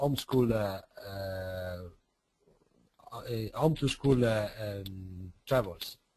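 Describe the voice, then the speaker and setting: A man speaks very slowly with an Italian accent. His tone is dark and mellow, his intonation lively. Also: long, frequent pauses, big swings in loudness. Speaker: city representative. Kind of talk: presentation. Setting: online webinar. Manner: halting.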